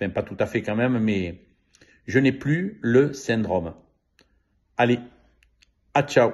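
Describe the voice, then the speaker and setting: Lively in intonation, a man speaks at a very slow pace with long, frequent pauses. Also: medium pitch for a man. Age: 70s. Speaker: customer giving testimonial. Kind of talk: testimony. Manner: halting, many hesitations.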